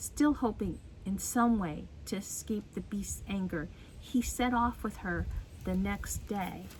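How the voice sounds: The passage comes in a natural reading voice.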